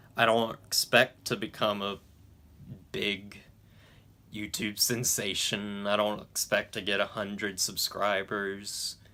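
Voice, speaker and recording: A man mumbles at a very slow pace in a monotone, flat intonation, his bright, sharp tone set at a fairly low pitch, in a very clean recording with a silent background. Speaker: YouTube movie reviewer. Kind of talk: casual vlog talk to camera. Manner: stuttering, halting; mumbling.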